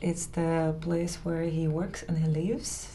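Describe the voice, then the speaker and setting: There is audible echo from the room. Within it, a woman speaks at a fairly low pitch. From Ukraine. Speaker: DJ and interview host. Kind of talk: interview. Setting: artist's studio apartment.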